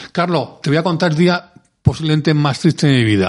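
This man talks fairly quickly with a strong Andalusian accent. His pitch sits fairly high and varies in an ordinary way. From Andalusia, Córdoba. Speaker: music industry executive. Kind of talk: interview. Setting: studio.

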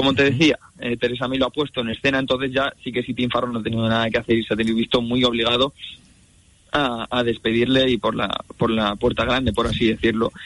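Delivery comes at a very fast pace in a monotone, flat intonation. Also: man, medium pitch for a man. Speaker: foreign correspondent journalist. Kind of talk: radio news report.

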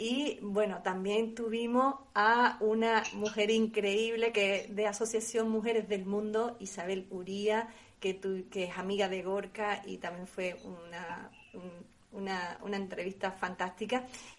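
A woman's voice at medium pitch, with fairly even intonation. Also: fairly slow pace. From Andalusia, Spain. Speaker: radio host. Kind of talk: casual chat. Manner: halting, many repetitions.

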